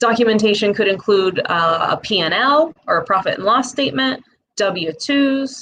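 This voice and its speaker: A woman with a Midwestern accent, speaking at a fairly slow pace. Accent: Midwest. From Midwest US. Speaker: presenter explaining small business loan applications. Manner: casual, conversational, with filler words.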